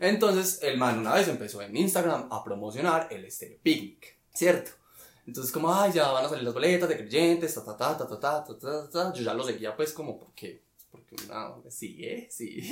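Pitch swings very widely at a moderate pace. Loudness rises and falls sharply too. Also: man. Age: 20s. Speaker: architect. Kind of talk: casual chat.

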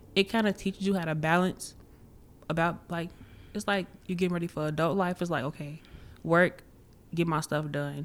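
A woman with a fairly low voice. Her intonation stays fairly even. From Chicago. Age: 18. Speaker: college student. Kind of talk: casual chat.

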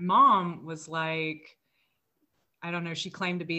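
A woman with an American accent speaks at a moderate pace in a fairly low pitch, a normal speaking voice. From US South, Mississippi. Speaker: guest sharing life story. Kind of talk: personal testimony interview.

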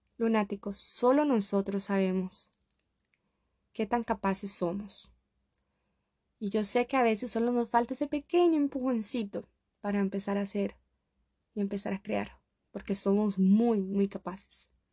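Over a quiet background with a dry, close sound and no echo, a somewhat breathy voice with a dark, mellow tone moves at a fairly slow pace, using ordinary pitch variation and long, frequent pauses. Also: woman, medium pitch for a woman. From Costa Rica. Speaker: podcast host. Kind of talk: motivational monologue.

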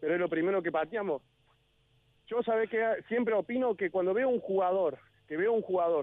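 This man's speech carries ordinary pitch variation. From Córdoba, Argentina. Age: 40s. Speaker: former lower-league footballer and railway worker. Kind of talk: interview. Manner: animated.

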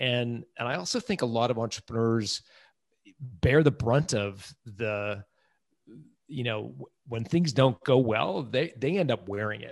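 A man speaks at a fairly slow pace with medium pitch and ordinary pitch variation. His loudness swings widely against a quiet background. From Toronto, Canada (emigrated from England at about five). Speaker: business author and entrepreneur. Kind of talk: interview. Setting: remote call.

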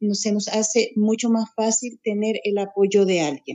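A woman with a normal speaking voice, fairly high pitch and moderate pace. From Chile, Santiago. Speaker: spiritual teacher. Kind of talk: interview.

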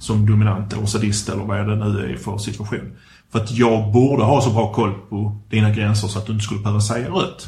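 Somewhat breathy and fairly low in pitch, a man talks at a fairly quick pace in a dark, mellow tone with ordinary pitch variation. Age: 40s. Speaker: podcast host. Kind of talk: casual chat.

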